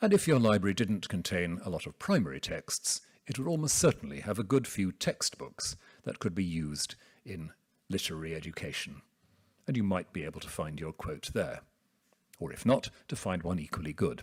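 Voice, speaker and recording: A man with a British accent, very deep and low in pitch, lively in intonation and fairly quick in pace. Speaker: theologian. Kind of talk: academic lecture. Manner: soft-spoken.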